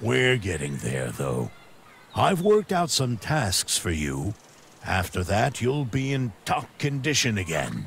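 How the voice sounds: A man's put-on character voice, fairly low in pitch with very wide pitch swings, vocal fry and a slow pace.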